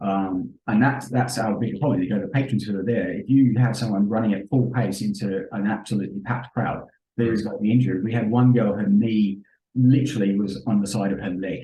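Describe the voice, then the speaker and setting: A man's fairly low, somewhat breathy voice at a fairly quick pace with ordinary pitch variation. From London, England. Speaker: event safety professional. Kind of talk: podcast interview.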